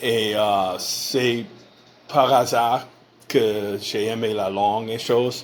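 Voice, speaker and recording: A man with an English accent, very slow and monotone, with flat intonation, long, frequent pauses, audible room echo and noticeable background noise. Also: medium pitch for a man. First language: English (speaking French). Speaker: podcast host. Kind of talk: casual interview. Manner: halting, many hesitations.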